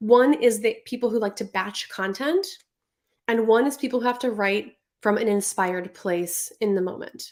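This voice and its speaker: Her voice sits fairly high for a woman, and its pitch moves in an ordinary way. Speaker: online business coach. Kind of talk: live stream tutorial. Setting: Instagram live stream. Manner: fast.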